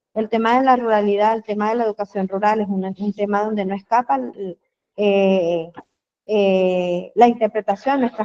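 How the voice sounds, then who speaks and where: Fairly even intonation at a moderate pace. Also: woman. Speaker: diplomado participant, educator. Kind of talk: online seminar discussion. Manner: halting, many fillers.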